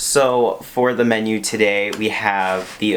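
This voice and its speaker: A man speaks quietly at a fairly low pitch. Noticeable background noise runs underneath. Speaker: YouTuber. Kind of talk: mukbang eating video monologue. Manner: quiet, low volume; casual, filler words.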